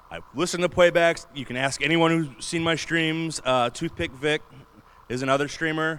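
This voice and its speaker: A man's voice sits fairly high. Background noise is noticeable throughout. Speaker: convention panelist, streamer. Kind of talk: convention panel talk. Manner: casual, conversational. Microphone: Blue Yeti mic, sometimes far away.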